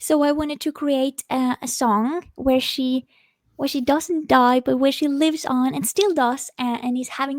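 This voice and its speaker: Delivered at a moderate pace with fairly even intonation, the speech carries a Norwegian accent in a dry, close sound with no echo on a very clean recording with a silent background. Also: woman. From Norway. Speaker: singer-songwriter. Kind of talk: interview. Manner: halting.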